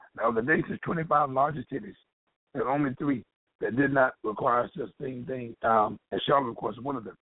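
A man speaks at a moderate pace in a plain, everyday voice, medium-pitched with ordinary pitch variation. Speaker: political commentator. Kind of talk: news commentary.

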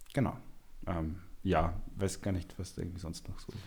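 In audible room echo, a man speaks at a fairly quick pace, somewhat breathy, with fairly even intonation. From Upper Austria. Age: 20s. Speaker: amateur footballer. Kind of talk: casual chat.

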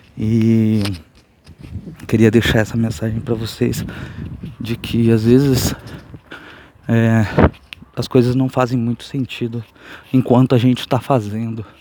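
Against noticeable background noise, a man speaks in a monotone, flat intonation at a medium pitch and a fairly slow pace, with long, frequent pauses. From São Paulo state, Brazil. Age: 30s. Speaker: podcaster. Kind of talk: casual monologue. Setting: outdoors on the street. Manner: soft-spoken.

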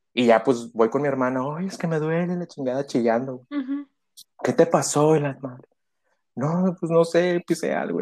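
Lively in intonation, a fairly high-pitched man speaks at a moderate pace in an ordinary speaking voice. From Reynosa, Tamaulipas, Mexico. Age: 30s. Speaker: podcast guest. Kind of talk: casual chat.

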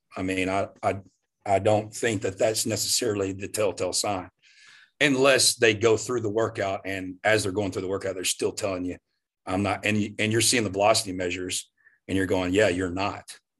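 Speaking fairly quickly in a Southern US accent, a man holds a monotone, flat intonation at a fairly low pitch. The background is quiet. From US South, Louisiana. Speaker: strength coach. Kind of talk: casual chat.

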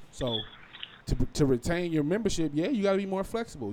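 A man with an American accent, very fast and with lively intonation, over noticeable background noise. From Las Vegas, US West. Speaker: podcast co-host. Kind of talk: casual banter podcast chat.

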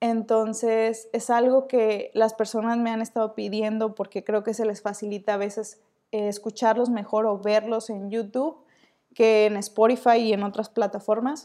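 A woman talks fairly slowly at a fairly high pitch in a dark, mellow tone with monotone, flat intonation, captured in a very clean recording with a silent background. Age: 20s. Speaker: podcast host. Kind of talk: casual monologue.

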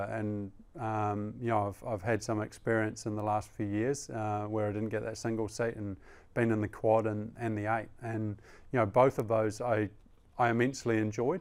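With a New Zealand accent, a man speaks at medium pitch and a moderate pace on a very clean recording with a silent background. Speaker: Olympic rower. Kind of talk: interview. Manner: halting, many fillers; measured.

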